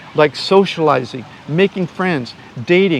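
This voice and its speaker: Amid noticeable background noise, a man with an American accent talks with lively intonation. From United States. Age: 60s. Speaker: YouTuber and online course seller. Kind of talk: interview answer, casual explanation. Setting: outdoors on a beach. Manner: halting, many fillers and restarts.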